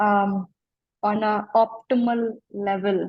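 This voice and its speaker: A woman speaks in a dark, mellow tone that is somewhat breathy. Her intonation is monotone and flat. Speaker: life coach. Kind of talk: interview. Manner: slow.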